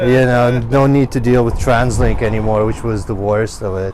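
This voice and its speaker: With noticeable background noise and audible room echo, a man speaks at a moderate pace and medium pitch, keeping his intonation fairly even. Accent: slight Ukrainian. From Ukraine. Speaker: guitarist in a metal band. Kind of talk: casual interview. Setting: recording studio. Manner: halting, many fillers.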